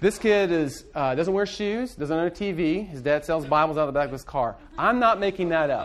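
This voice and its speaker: Barely pausing, a man talks at a high pitch with lively intonation. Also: moderate pace. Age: 30s. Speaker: pastor. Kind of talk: lecture.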